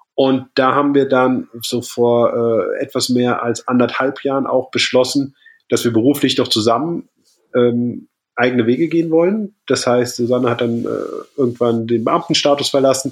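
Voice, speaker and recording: A man speaks in a normal speaking voice at a medium pitch. His pace is moderate and his intonation fairly even. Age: 30s. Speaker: triathlete and keynote speaker. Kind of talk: casual chat.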